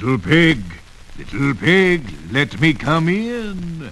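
In a put-on character voice, a man talks at a very slow pace with a fairly high pitch, with clear background noise behind him. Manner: sweet, coaxing.

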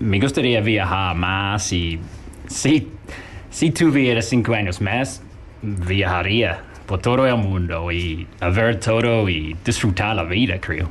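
A man with a fairly low pitch talks at a very slow pace with ordinary pitch variation, audible room echo and noticeable background noise. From New Zealand, farm in the South. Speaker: guest on radio show. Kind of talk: casual chat. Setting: radio studio.

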